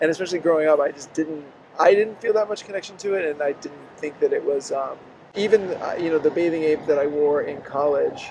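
Noticeable background noise sits behind a man's high-pitched voice. He speaks at a fairly quick pace. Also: ordinary pitch variation. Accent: American. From US Deep South (Mississippi, Pensacola, Florida). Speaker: author. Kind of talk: interview. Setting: in person in Tokyo.

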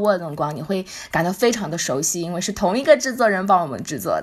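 Over noticeable background noise, a woman talks very fast in an animated tone with lively intonation. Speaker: podcast co-host. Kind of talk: casual chat.

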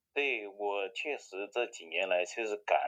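A man speaks at a fairly slow pace. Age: 50s. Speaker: amateur marathon runner and charity fundraiser. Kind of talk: casual interview. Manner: halting, many fillers and repetitions.

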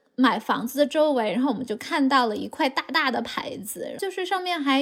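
At a moderate pace, a woman talks with lively intonation and a high pitch. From China, Chengdu. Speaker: high school teacher. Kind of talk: casual chat.

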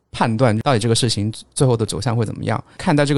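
Very fast speech from a man at a medium pitch with fairly even intonation. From Guangdong, China. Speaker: data analyst. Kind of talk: casual chat.

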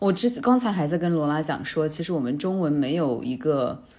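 A woman's very deep, low voice has a dark, mellow tone and lively intonation. She keeps a moderate pace amid audible room echo. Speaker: podcast host. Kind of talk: casual chat.

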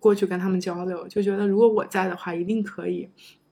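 At a very fast pace, a woman talks at a medium pitch. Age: 30s. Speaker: former PhD student. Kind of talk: casual interview chat.

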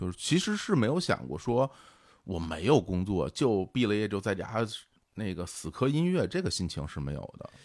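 Speaking at a moderate pace, a man with a fairly low pitch makes very wide pitch swings in a very clean recording with a silent background. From Beijing, China. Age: 40s. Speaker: podcast co-founder and host. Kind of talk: casual interview conversation.

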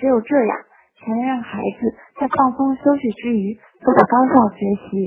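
A woman with a high voice speaks at a moderate pace, her intonation fairly even and her speech broken by long, frequent pauses. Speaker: university student speaker. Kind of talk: prepared talk.

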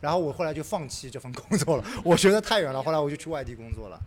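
At a very fast pace, a man speaks with vocal fry and very wide pitch swings around a fairly high pitch. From Shanghai. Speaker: podcast host. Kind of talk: casual group chat. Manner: animated.

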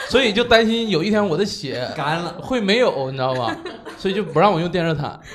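A man with a northern Chinese accent talks at a fairly quick pace in a high pitch with lively intonation, amid noticeable background noise and audible room echo. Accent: unchanged northern. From Northeast China. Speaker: podcast co-host. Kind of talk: casual chat.

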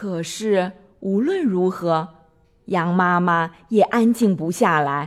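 This clip is plain reading aloud, its pitch varying in an ordinary way.

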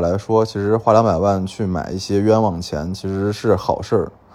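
A man speaks at a fairly quick pace. Nothing much stirs in the quiet background. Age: 30s. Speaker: antique dealer and podcast host. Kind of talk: storytelling monologue. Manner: frequent fillers and hesitations.

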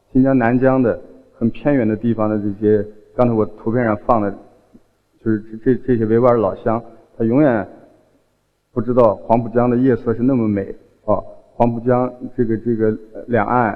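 A man at medium pitch and moderate pace, monotone and flat in intonation, with long, frequent pauses. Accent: slight southern Chinese. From Xinjiang, China. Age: 40s. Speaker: folk singer. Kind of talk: public talk. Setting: stage with audience. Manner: hesitant, many fillers.

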